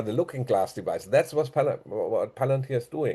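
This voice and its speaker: With a German accent and a quiet background, a man speaks in a dark, mellow, somewhat breathy tone with ordinary pitch variation. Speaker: conspiracy commentator. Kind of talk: casual monologue. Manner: halting.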